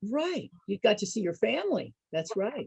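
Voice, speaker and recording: Speaking at a fairly slow pace, a woman with an American accent sounds somewhat breathy. Her intonation is lively. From Northern California. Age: 60s. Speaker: senior activity entertainer. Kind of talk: casual group chat. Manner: animated.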